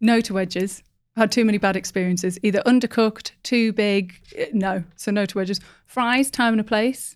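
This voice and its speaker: This woman speaks at a fairly quick pace with a Teesside accent, her pitch fairly high and her intonation fairly even. The recording is very clean, with a silent background. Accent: Teesside northeast English. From northeast England. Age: 20s. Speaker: market research professional. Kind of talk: casual podcast interview.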